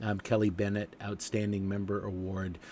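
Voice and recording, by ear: A man's nasal voice of fairly bright tone at a moderate pace.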